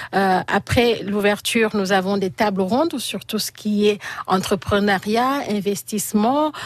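A woman talks very slowly. Her pitch is mid-range and shifts an ordinary amount. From Senegal, Casamance. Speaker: association president. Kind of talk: radio interview. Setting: studio.

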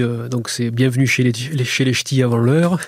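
A man's voice sits at a medium pitch. The intonation is fairly even. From southern France, Béziers. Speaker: psychiatrist and painter. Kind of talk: radio interview. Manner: halting, many repetitions.

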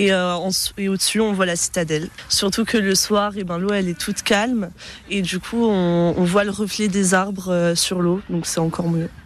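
A woman speaks at a moderate pace and medium pitch, her intonation monotone and flat. Noticeable background noise runs beneath her. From southern France, Nice. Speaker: passer-by interviewed in street. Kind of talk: street interview. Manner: hesitant.

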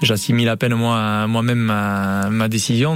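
A man at medium pitch with fairly even intonation, music in the background. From French Basque Country, Hendaye. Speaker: retired pelota player and firefighter. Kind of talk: radio interview.

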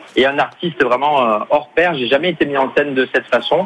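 There is noticeable background noise as a man talks at a fairly quick pace. His intonation is fairly even. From Marseille, southern France. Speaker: comedian. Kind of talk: radio interview. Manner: halting.

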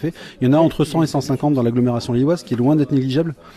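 A man's medium-pitched voice runs at a very fast pace with fairly even intonation. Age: 40s. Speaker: electronics technician, repair café volunteer. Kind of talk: interview. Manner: hesitant with repeated words.

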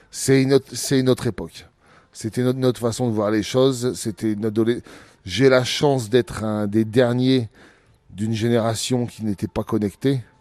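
In a very clean recording with a silent background and a dry, close sound with no echo, a man speaks at medium pitch and moderate pace in a dark, mellow tone with fairly even intonation. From northern France, Picardy (Abbeville). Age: 40s. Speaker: retired professional boxer. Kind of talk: interview. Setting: gym.

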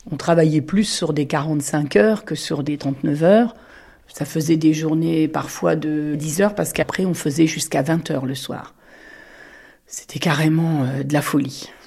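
At a fairly slow pace, a woman with a very deep, low pitch speaks with ordinary pitch variation. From France, Touraine. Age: 60s. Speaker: former mushroom picker. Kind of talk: interview testimony. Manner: hesitant, frequent filler sounds.

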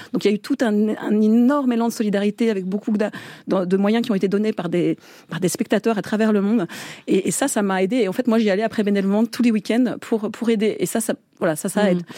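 The delivery is very fast, with fairly even intonation and very even loudness. The tone is dark and mellow, and the sound is dry and close with no echo. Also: woman, fairly high pitch for a woman. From France and England, half English. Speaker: war reporter. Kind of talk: interview.

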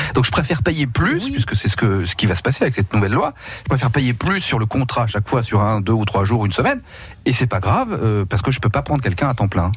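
Talking very fast at a medium pitch, a man keeps his loudness very even while his intonation stays lively. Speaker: radio host. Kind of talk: casual chat. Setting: studio. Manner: animated.

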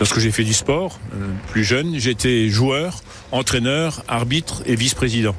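A man's speech moves at a moderate pace with ordinary pitch variation, and noticeable background noise is present. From Lorraine, Moselle (Yutz). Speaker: local politician. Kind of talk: radio interview. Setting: on a boat.

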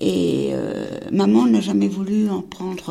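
A woman talks over noticeable background noise. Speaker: Holocaust survivor. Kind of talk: testimony.

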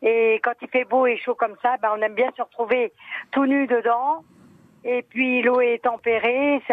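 This woman's voice sits high in pitch and keeps a fairly even intonation. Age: 70s. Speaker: caller. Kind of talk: testimony.

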